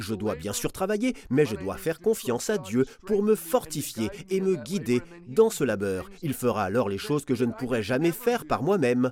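The man's medium-pitched voice shows very wide pitch swings. He talks at a moderate pace. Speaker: preacher. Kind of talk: sermon, earnest Bible teaching. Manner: earnest, warm, conversational, emphatic.

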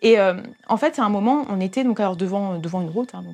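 A woman talks at a fairly quick pace. Her medium-pitched voice has lively intonation. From Paris region, France. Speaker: youth church leader. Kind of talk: testimony. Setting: hair salon. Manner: halting.

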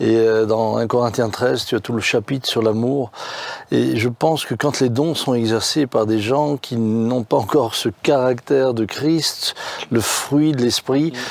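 Delivery comes at a very slow pace with fairly even intonation. Noticeable background noise runs underneath. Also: man, medium pitch for a man. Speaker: pastor. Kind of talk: casual chat.

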